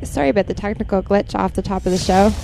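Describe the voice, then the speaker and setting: A woman's voice over noticeable background noise. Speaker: radio DJ. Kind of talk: radio DJ patter between mixes, station ID and promo. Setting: radio studio broadcast. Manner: brisk, friendly, conversational.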